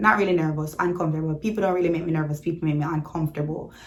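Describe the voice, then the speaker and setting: A woman with a fairly low pitch speaks in a Jamaican accent. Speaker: YouTuber. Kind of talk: storytime vlog. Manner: casual, animated.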